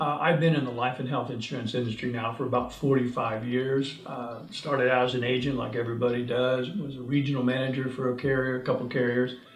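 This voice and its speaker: Music plays in the background as a man talks very fast at medium pitch with fairly even intonation and audible room echo. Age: 70s. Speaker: insurance agent. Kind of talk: sales pitch. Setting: self-recorded video.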